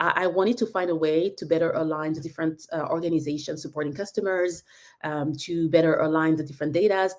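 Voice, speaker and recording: Fairly low female speech with a French accent, fairly even intonation and a fairly quick pace. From France. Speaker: tech business leader. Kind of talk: webinar talk. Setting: online live session. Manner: halting, many fillers.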